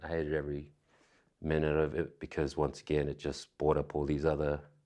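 A man speaks at a moderate pace with a very deep, low pitch. His voice has vocal fry. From Australia. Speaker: actor. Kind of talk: casual chat.

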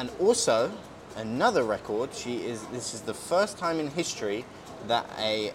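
Over noticeable background noise, a man with a British accent speaks at a moderate pace, his medium-pitched voice rising and falling in lively intonation. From Britain. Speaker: podcast host. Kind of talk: casual chat. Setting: outdoors by hotel pool. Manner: relaxed.

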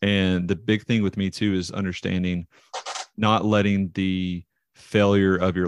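Speaking at a fairly slow pace with a Southern US accent, a man's very deep, low voice stays monotone and flat, recorded dry and close with no echo over a quiet background. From US South. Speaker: professional baseball pitcher. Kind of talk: casual chat. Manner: talkative, long-winded.

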